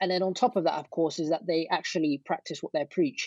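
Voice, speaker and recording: High male voice with a British accent at a fairly quick pace, dry and close with no echo, over a quiet background. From Britain. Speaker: ecommerce entrepreneur and online teacher. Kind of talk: interview.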